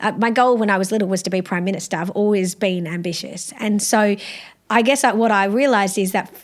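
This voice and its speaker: Talking at a very fast pace, a woman speaks with an Australian accent. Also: medium pitch for a woman. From South Australia. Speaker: law professor. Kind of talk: interview. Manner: animated.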